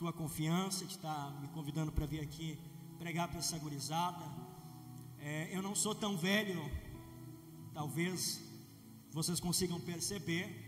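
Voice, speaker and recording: Noticeable background noise and audible room echo surround the recording. A man speaks with a high pitch and fairly even intonation. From southern Brazil, Rio Grande do Sul. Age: 20s. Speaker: preacher. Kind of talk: sermon. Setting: church.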